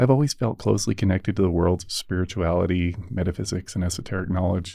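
Over a quiet background, a man with an American accent talks at a very fast pace, his very deep, low voice dark and mellow in tone. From United States. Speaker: podcast host. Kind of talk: scripted narration.

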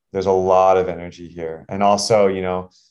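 Against a quiet background, a man with a fairly low voice speaks at a moderate pace. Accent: American. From Texas. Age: 30s. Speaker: performance coach. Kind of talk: casual chat.

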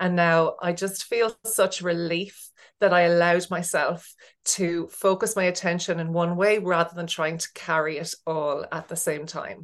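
A woman's fairly low voice in an Irish accent, flat and monotone, at a moderate pace. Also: quiet background. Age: 40s. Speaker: business coach, former teacher. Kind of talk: casual interview chat. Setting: remote call.

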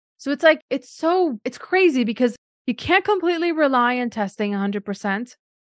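A woman's high voice with very wide pitch swings at a fairly quick pace, dry and close with no echo, over a quiet background. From Ukraine. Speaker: podcast host, nutrition coach for moms. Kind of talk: interview, casual chat.

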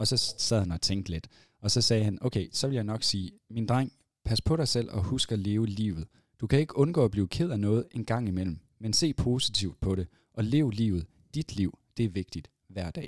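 On a very clean recording with a silent background and a dry, close sound with no echo, a man speaks at a moderate pace with lively intonation. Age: 30s. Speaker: entrepreneur and event organiser. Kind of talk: casual chat. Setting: studio. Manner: halting.

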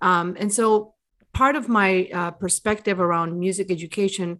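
Against a quiet background, a woman with an American accent talks at a fairly quick pace in a medium pitch, an unremarkable speaking voice. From US and Bolivia. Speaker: music business coach. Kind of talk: interview.

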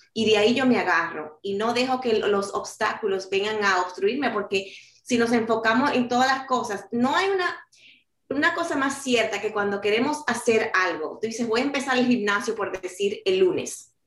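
A woman speaks at a moderate pace with lively intonation and a fairly high pitch. Some room echo can be heard. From New York City, Dominican-born. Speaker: author and life coach. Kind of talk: interview.

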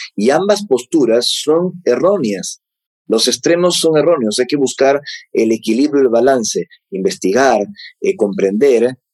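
At a moderate pace, a man of medium pitch talks with very wide pitch swings in a dry, close sound with no echo. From Peru, Lima. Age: 40s. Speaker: UFO researcher and author. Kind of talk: interview conversation.

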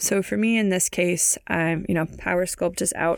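A woman with an American accent talks at a moderate pace in a normal speaking voice. Her pitch sits in the medium range, and the recording is very clean with a silent background. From US West Coast, San Francisco Bay Area. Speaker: fitness trainer and podcast host. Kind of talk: solo podcast talk.

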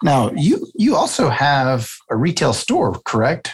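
A somewhat breathy man's voice, fairly high in pitch, with very wide pitch swings. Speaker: podcast host. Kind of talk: casual interview.

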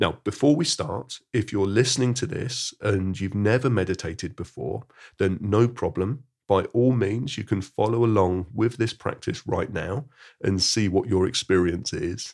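A man with a normal speaking voice talks at a fairly low pitch with ordinary pitch variation. The recording is very clean, and the background is silent. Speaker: mindfulness teacher. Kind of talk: guided meditation; podcast monologue with guided meditation. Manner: slow, soothing, calm and gentle with unhurried pauses; soft-spoken.

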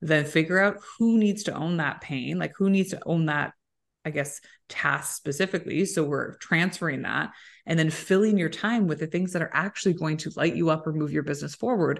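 Against a quiet background, a woman with a normal speaking voice talks at a fairly quick pace, her fairly low pitch showing ordinary variation. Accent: Canadian. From Canada, Waterloo Ontario. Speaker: podcast host and recruitment founder. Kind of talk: casual interview chat.

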